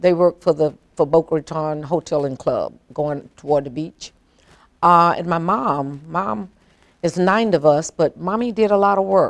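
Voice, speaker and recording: A woman speaks with an American accent. Her pitch is very deep and low, with ordinary pitch variation. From US South, South Florida. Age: 70s. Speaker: longtime local resident. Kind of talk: oral history interview. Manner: halting.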